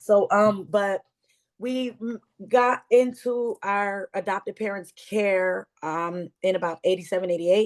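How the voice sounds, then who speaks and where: A woman's plain, everyday voice at a medium pitch, fairly slow in pace with ordinary pitch variation. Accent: American. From Bronx, New York. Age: 40s. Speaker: abuse survivor and advocate. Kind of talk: testimony.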